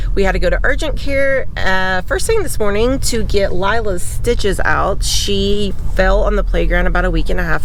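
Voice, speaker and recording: Someone with an American accent speaks at a fairly slow pace amid noticeable background noise. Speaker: RV camping vlogger. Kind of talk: casual vlog. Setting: outdoors on a UTV. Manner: loud.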